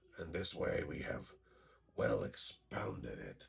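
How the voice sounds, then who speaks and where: A man's raspy, cartoonish character voice at a fairly slow pace, with a slight echo. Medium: puppet show. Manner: hesitant, laughing, flattering.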